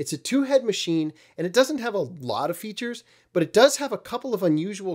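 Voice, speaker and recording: Against a quiet background, a man speaks at a fairly quick pace with very wide pitch swings. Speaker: vintage audio repair channel host. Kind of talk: tutorial commentary. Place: home room. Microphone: studio mic.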